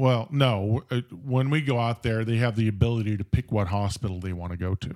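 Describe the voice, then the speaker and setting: A man's unremarkable speaking voice with an American accent, medium in pitch and fairly quick in pace, with a dry, close sound and no echo. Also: ordinary pitch variation. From Southern California (Orange County). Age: 60s. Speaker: paramedic supervisor. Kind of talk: casual interview storytelling.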